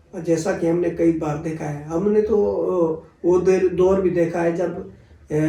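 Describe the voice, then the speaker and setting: A man's high-pitched voice with audible room echo. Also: fairly even intonation. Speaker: folk singer. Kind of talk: interview conversation. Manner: halting, many fillers.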